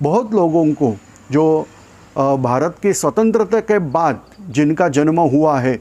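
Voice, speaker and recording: A man speaks with lively intonation and a fairly high pitch. His loudness stays very even. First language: not Hindi (speaking Hindi). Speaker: YouTube channel host. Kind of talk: informational talk. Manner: hesitant, many fillers.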